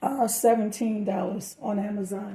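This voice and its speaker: Fairly even intonation comes with a dark, mellow tone and a somewhat breathy quality. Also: woman. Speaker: part-time online reseller. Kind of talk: haul video commentary. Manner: casual, halting with fillers.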